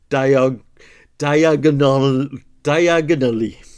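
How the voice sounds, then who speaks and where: In a Welsh accent, a man speaks very slowly at a fairly high pitch with ordinary pitch variation. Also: very clean recording, silent background. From Wales. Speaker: puzzle-solving video creator. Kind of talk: casual commentary while solving a puzzle.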